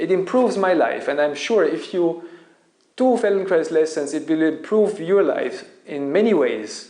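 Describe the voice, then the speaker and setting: In a German accent, a man talks at a moderate pace in a high voice with lively intonation. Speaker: Feldenkrais teacher and YouTuber. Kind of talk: casual Q&A monologue. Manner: halting, with self-corrections.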